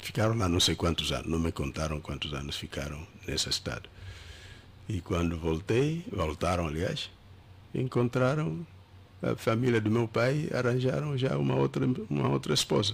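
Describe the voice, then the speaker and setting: On a very clean recording with a silent background, a man speaks at a moderate pace in a very deep, low pitch with vocal fry, very wide pitch swings, and long, frequent pauses. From Angola. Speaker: pastor. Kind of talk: interview. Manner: halting.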